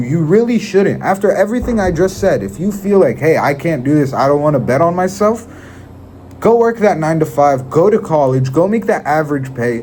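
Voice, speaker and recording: Very wide pitch swings at a fairly quick pace, with noticeable background noise behind them. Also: man. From Israel. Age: young. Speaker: sales motivational speaker. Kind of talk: motivational talk. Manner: occasional stutter; animated.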